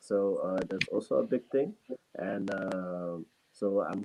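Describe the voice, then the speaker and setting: A man with a fairly low pitch speaks with a non-native accent. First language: not English. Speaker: student and entrepreneur. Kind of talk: interview answer on a talk show. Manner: halting, many fillers.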